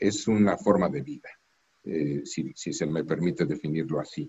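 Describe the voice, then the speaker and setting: The man speaks at a fairly slow pace. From Mexico. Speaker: diplomat. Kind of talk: interview. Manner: formal.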